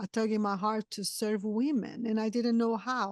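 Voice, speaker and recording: In a Brazilian accent, a woman speaks at a fairly high pitch with fairly even intonation. The sound is dry and close with no echo, over a quiet background. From southern Brazil. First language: Portuguese. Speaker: podcast host. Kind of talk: interview.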